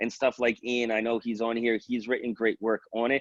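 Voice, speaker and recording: A man speaks with a New York accent at a fairly quick pace. The sound is dry and close, with no echo. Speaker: police wellbeing expert. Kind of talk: webinar presentation. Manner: fast; animated.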